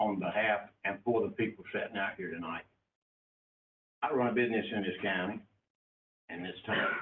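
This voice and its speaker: A man with a North Carolina accent, very fast, with fairly even intonation. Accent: southern US (North Carolina). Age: 70s. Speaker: county commissioner. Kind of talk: public meeting debate. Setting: county commission meeting.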